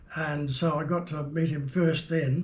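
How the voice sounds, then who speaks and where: Noticeable background noise mixes with audible echo from the room. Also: man. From New Zealand. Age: 80s+. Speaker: jazz keyboard player. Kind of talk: interview, reminiscing. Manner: halting, many fillers.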